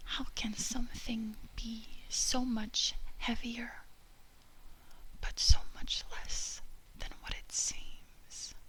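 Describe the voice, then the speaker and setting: Whispering and soft-spoken, the speaker goes at a very slow pace with long, frequent pauses. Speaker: ASMR creator. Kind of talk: ASMR lyrics reading for sleep. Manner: soft-spoken, whispered.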